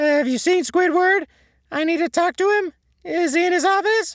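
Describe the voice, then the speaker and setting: In a put-on character voice, the speaker goes at a moderate pace with an extremely high pitch. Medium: read story. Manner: frantic, crying.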